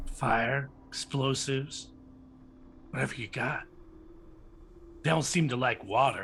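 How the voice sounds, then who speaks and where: A raspy put-on character voice moves at a fairly slow pace with long, frequent pauses and fairly even intonation, over clear background noise. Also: man, medium pitch for a man. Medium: actual play. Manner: clipped, haunted.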